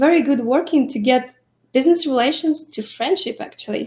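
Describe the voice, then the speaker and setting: Lively intonation fills this woman's speech. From Belarus. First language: Russian or Belarusian. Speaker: lash artist and trainer. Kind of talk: interview.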